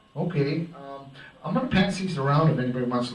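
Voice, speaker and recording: A man talks amid noticeable background noise, with audible room echo around him. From North Dakota. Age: old. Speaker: innkeeper. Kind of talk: oral history talk. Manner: halting, with many fillers.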